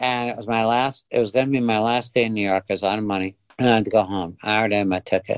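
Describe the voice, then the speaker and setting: A man speaks at a very fast pace and medium pitch. His intonation stays fairly even. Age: 60s. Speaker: cartoonist and illustrator. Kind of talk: interview. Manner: halting, many filler words.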